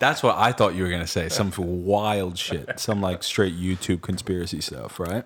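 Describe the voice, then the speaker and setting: Very deep and low, a man's voice carries an American accent with fairly even intonation at a moderate pace. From New York. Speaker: podcast co-host. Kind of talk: casual chat.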